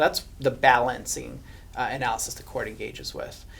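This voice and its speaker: A speaker with a Hungarian accent talks at a moderate pace. Noticeable background noise runs under the voice. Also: man. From Hungary. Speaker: estate litigation lawyer. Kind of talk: podcast interview.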